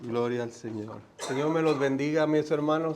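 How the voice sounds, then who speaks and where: Audible room echo surrounds a man talking at a fairly slow pace with lively intonation. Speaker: guest preacher. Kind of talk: sermon. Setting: church.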